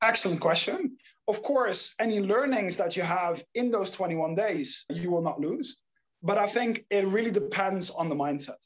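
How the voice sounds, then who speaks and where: The talking goes at a moderate pace in a Dutch accent. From Netherlands. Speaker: startup founder, habit coach. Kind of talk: interview. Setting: remote call.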